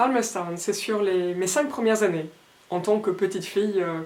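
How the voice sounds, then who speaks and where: This woman speaks at a moderate pace with a medium pitch and ordinary pitch variation. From France. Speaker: illustrator. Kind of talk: artist talk. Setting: Facebook live. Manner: halting.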